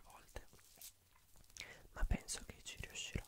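A man speaks in a whisper. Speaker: ASMR creator. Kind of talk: ASMR whispering, relaxing talk to camera. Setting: studio, close microphone. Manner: whispered, soft-spoken, slow. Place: home room. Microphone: studio mic.

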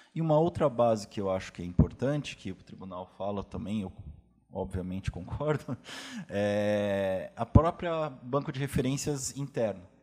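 A man's dark, mellow voice carries lively intonation and big swings in loudness at a moderate pace. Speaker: state attorney. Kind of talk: panel Q&A. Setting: auditorium with audience. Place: hall.

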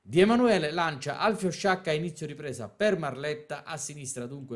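This man talks at a fairly quick pace in an animated tone with lively intonation. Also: hardly any pauses, big swings in loudness. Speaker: sports commentator. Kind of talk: live-style sports commentary. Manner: fast, animated, rhythmic play-by-play delivery.

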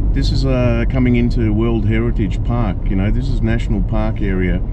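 Against noticeable background noise, a man speaks at a moderate pace in a dry recording with no echo. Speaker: travel vlogger. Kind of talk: casual vlog chat. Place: car. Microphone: camera far.

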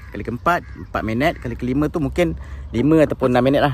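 A man speaks at a moderate pace. Light background noise is present, and the sound is dry with no echo. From Malaysia. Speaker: bird keeper, YouTuber; YouTuber. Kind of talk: casual tutorial. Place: open country. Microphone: phone near.

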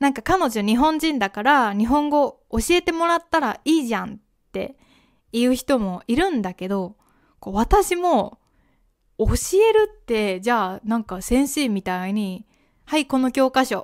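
Her high-pitched voice moves at a fairly slow pace with very wide pitch swings. The woman is heard against a quiet background. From Japan. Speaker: podcast host and Japanese teacher; Japanese podcast host. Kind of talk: casual educational monologue. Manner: conversational, with fillers and self-corrections. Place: home room. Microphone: studio mic.

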